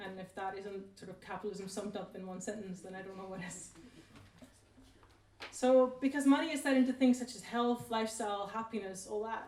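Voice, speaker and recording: A woman with a non-native accent talks fairly quickly at a medium pitch, her loudness swinging widely and her pitch varying in an ordinary way, while noticeable background noise sits behind her. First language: not English. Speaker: researcher on inequality. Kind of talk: talk at a public event. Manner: casual, hesitant with fillers.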